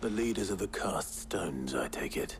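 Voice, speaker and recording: This is a put-on character voice at a fairly quick pace. Clear background noise runs underneath. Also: man. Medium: video game.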